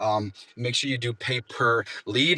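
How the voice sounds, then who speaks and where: A man is heard in a dry, close sound with no echo. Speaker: window cleaning business owner. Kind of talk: business tips talk. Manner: fast.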